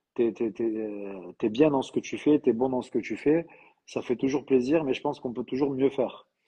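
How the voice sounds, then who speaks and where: With a southern French accent, a man of medium pitch speaks at a moderate pace with hardly any pauses, his dark, mellow tone showing big swings in loudness. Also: ordinary pitch variation. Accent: southern French, sing-song. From southern France. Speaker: trainer and training company owner. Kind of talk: live interview. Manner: hesitant, many fillers.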